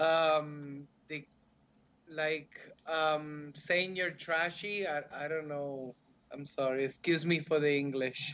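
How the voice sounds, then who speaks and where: At a very slow pace, a man with a non-native accent speaks in a monotone, flat intonation at a fairly high pitch. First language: not English. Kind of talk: casual chat. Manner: halting.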